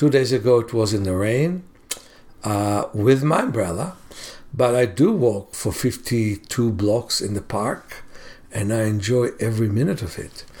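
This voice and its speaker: In an ordinary speaking voice, a man talks at a medium pitch and a fairly slow pace with ordinary pitch variation. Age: 60s. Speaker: self-healing teacher. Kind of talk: casual monologue; sales pitch.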